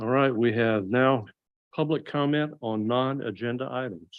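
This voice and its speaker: A man with a Southern US accent, medium pitch and ordinary pitch variation. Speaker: planning board chair. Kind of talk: public meeting, formal motion. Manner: formal.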